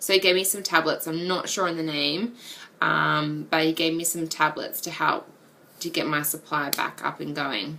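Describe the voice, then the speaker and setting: In an Australian accent, a woman talks at a fairly quick pace with fairly low pitch and ordinary pitch variation. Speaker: vlogger. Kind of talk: casual chat. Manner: hesitant, many ums.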